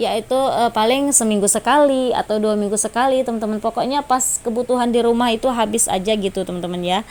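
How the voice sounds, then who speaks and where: A woman talks at a very fast pace with hardly any pauses, her fairly high pitch showing ordinary variation. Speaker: vlogger. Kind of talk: voice-over vlog narration. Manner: casual, chatty with filler.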